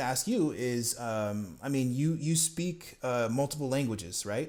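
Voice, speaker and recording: A man with an ordinary speaking voice talks at a fairly slow pace with lively intonation. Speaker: podcast host. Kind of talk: casual interview.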